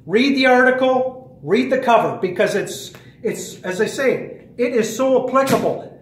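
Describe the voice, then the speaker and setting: Noticeable background noise sits behind a man speaking at a fairly slow pace. His pitch is extremely high, with ordinary variation and an animated tone. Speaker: fitness trainer and conspiracy vlogger. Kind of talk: casual monologue vlog.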